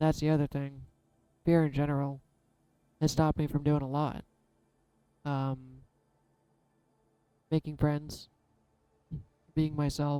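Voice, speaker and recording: A woman with a very deep, low pitch speaks in a monotone, flat way. Her pace is fairly slow, with long, frequent pauses. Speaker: tarot reader. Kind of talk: tarot reading monologue.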